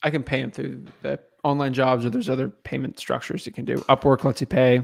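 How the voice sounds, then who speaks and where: Speaking at a very fast pace, a man with a medium pitch and vocal fry keeps his intonation fairly even, the sound dry and close with no echo. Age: 20s. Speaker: real estate wholesaling coach. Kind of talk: casual chat.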